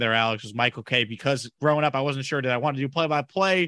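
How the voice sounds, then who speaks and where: The tone is bright and sharp, in a Long Island accent. The pace is very fast. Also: man. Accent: New York, Long Island. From Long Island, New York. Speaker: sports radio host. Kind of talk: casual interview.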